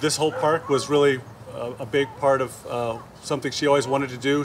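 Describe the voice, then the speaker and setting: A man talks at a fairly quick pace with fairly even intonation over light background noise. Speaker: town official hosting a memorial. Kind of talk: memorial speech. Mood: warm, respectful. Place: open country. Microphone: podium.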